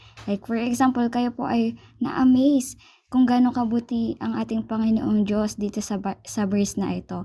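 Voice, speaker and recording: With fairly even intonation, a woman talks in a somewhat breathy voice. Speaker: church cell group leader. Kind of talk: Bible study instruction. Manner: halting.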